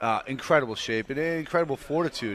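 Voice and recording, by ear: A man's medium-pitched, fairly bright voice at a fast pace, with ordinary pitch variation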